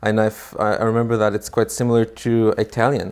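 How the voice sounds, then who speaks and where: On a very clean recording with a silent background, a man with a slight non-native accent speaks at a moderate pace and a fairly low pitch. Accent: slight foreign. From Israel. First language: Hebrew. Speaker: immigrant guest. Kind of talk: interview. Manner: hesitant, many fillers.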